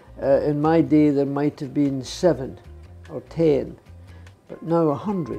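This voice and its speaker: Music in the background behind a man's fairly high voice, at a fairly slow pace with ordinary pitch variation. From Scotland. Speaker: retired racing driver. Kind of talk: interview answer.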